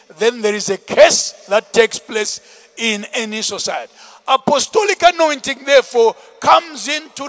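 A man's animated voice is extremely high with very wide pitch swings. The sound is dry and close with no echo, though background noise is noticeable. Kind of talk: sermon; fiery preaching with call-and-response, prayer and blessing. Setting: church with congregation. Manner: animated, forceful and rhythmic, driving each point home with repetition; commanding and exhorting, urging the crowd to respond.

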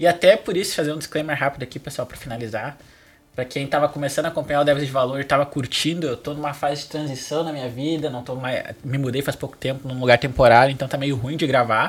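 A man talks at a very fast pace in a fairly high, somewhat breathy voice. His intonation stays fairly even. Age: 20s. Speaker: front-end architect. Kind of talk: casual tech interview.

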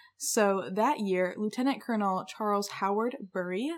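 In an ordinary speaking voice, a woman talks at a moderate pace with medium pitch and fairly even intonation. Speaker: podcast co-host. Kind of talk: casual chat presenting research. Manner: casual, filler-heavy. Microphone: new desktop USB mic.

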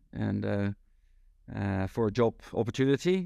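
A man with a fairly low pitch is heard in a dry, close sound with no echo and a quiet background. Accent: Dutch. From Netherlands, Rotterdam. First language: Dutch. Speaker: sales consultant. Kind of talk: interview.

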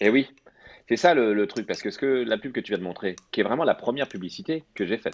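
A man's voice with very wide pitch swings and a dry, close sound with no echo. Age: 30s. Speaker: ad director. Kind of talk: casual chat.

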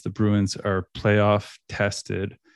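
A man speaks with a Canadian Maritime accent at a fairly low pitch. The background is quiet. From Nova Scotia, Canada. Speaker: sports podcaster. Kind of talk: casual sports chat.

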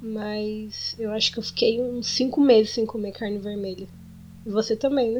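A woman speaks at a moderate pace in a somewhat breathy voice. Her intonation is monotone and flat. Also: fairly high pitch for a woman. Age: 20s. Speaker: podcast co-host, expectant mother. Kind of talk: casual chat.

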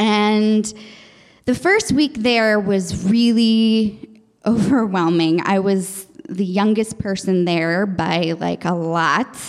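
Her pitch is medium and varies in an ordinary way. The woman speaks at a very slow pace with very even loudness. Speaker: storyteller and actress. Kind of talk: casual interview chat.

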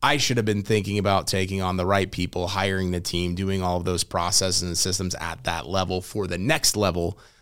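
Talking at a fairly quick pace with hardly any pauses, the speaker has an American accent and fairly even intonation on a very clean recording with a silent background. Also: man, very deep, low pitch for a man. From US Midwest (St. Louis, Missouri). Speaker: digital marketing business owner. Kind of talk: casual interview.

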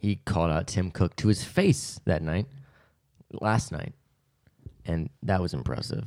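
A man with a very deep, low pitch and vocal fry talks at a fairly slow pace with lively intonation and long, frequent pauses on a very clean recording with a silent background. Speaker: podcast co-host. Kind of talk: casual chat.

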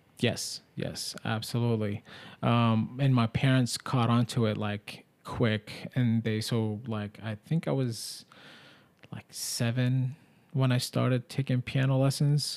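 A man talks at a very slow pace. His medium pitch carries fairly even intonation. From Middle East. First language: Arabic. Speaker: podcast host. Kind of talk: casual chat.

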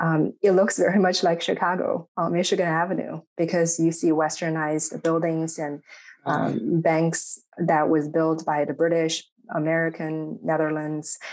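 Against a quiet background, a woman with a Chinese accent talks at a moderate pace in a fairly low pitch, her intonation monotone and flat. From China, Shanghai. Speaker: psychology professor. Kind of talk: academic interview.

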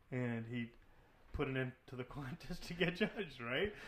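This man has an unremarkable speaking voice, medium in pitch, moving at a moderate pace with ordinary pitch variation. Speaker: podcast co-host.

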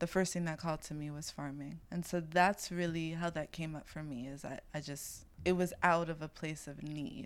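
In a New York accent, a woman with a very deep, low pitch speaks at a moderate pace with hardly any pauses, fairly even intonation and big swings in loudness, on a very clean recording with a silent background. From Brooklyn, New York City. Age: 20s. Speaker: farmer and food activist. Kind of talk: casual chat.

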